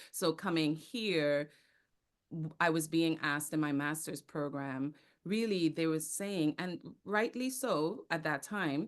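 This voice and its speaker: A woman's very deep, low voice in a Caribbean accent, at a fairly slow pace with ordinary pitch variation. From Trinidad and Tobago. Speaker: actor, theater company founder and speaking coach. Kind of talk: podcast interview.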